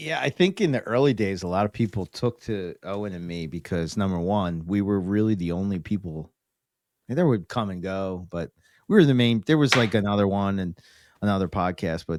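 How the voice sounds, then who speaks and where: A man with a Philadelphia accent and a fairly low pitch talks fairly quickly with ordinary pitch variation, the sound dry and close with no echo on a very clean recording with a silent background. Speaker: reptile podcaster. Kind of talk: casual interview chat.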